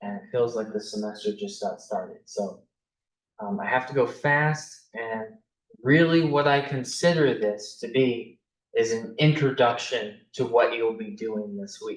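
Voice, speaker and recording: This man talks at a fairly slow pace with a medium pitch, lively intonation and big swings in loudness. He has a normal speaking voice. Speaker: math instructor. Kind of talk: lecture.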